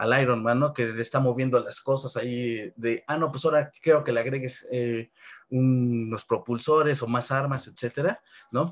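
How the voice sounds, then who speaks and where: A man with a central Mexican accent, medium pitch, fairly even intonation and a moderate pace. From Mexico, Puebla. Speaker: robotics professor. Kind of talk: interview.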